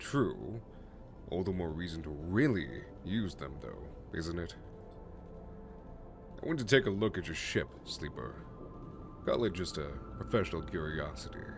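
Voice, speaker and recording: A booming, put-on character voice from a man, very deep and low, at a moderate pace with long, frequent pauses over loud background noise. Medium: solo performance. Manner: confident, salesman-like.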